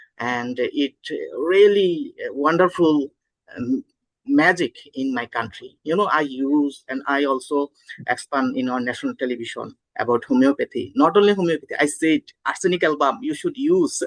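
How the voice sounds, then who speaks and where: With a Bangladeshi accent, a man speaks at a moderate pace in a dry, close sound with no echo. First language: Bengali. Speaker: homeopathic doctor and conference host. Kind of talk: conference opening remarks. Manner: halting, many fillers.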